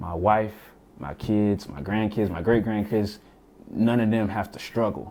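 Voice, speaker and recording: At a fairly slow pace, a man talks with a dark, mellow tone. His pitch is fairly low and his intonation fairly even. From US South, Florence, South Carolina. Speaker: musician and podcaster. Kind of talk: casual interview.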